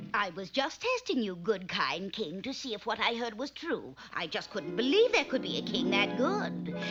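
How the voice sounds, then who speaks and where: Against clear background noise, a cartoonish character voice with a fairly high pitch moves at a moderate pace. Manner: slangy, casual.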